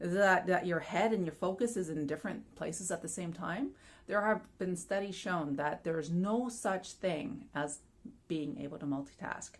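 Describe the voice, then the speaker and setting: With an unremarkable speaking voice, a woman at a fairly low pitch uses lively intonation. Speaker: personal fulfillment coach. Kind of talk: casual talk to camera. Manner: upbeat, friendly.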